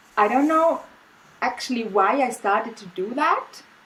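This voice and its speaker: A woman with a German accent, fairly slow and lively in intonation, over noticeable background noise. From Austria. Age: 40s. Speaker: artist. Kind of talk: casual chat. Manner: halting.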